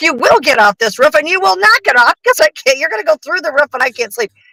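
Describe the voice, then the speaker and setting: This is a put-on character voice pitched high. It rushes along at a very fast pace. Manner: stern, commanding.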